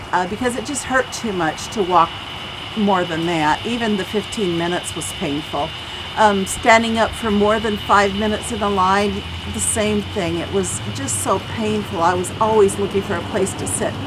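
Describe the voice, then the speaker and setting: Over noticeable background noise and audible room echo, a woman with an American accent talks at a moderate pace and a medium pitch. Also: ordinary pitch variation. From US Midwest, southern Illinois. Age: 60s. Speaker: patient giving testimonial. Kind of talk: testimony.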